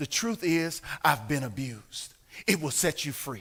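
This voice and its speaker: A man speaks at a moderate pace in a bright, sharp, animated tone with very wide pitch swings. The recording is very clean, with a silent background. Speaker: pastor. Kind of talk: bible study teaching. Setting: church.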